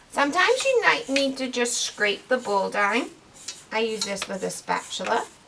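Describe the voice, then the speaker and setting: Behind a woman talking at a moderate pace, there is noticeable background noise. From Northern Ireland. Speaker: camp program director. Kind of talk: cooking tutorial to camera. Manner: friendly, casual.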